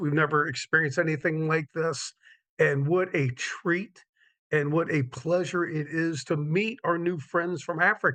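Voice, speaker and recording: A man with a fairly high pitch speaks at a moderate pace in a bright, sharp tone, his intonation fairly even. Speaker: event host. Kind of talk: live online event hosting.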